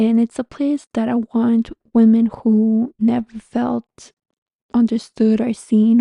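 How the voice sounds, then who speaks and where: A woman with a fairly high pitch and a dark, mellow tone speaks very slowly and somewhat breathily, the sound dry and close with no echo. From Canada, Montreal. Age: 30s. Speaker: spiritual guide and podcast host. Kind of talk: casual podcast monologue. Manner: conversational, friendly.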